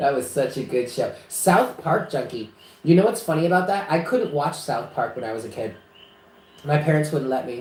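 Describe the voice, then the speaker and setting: An animated, somewhat breathy delivery with an American accent, very wide pitch swings and a moderate pace, plus audible room echo. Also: man, fairly high pitch for a man. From New York, Westchester. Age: 30s. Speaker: psychic reader. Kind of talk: casual chat. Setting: live stream.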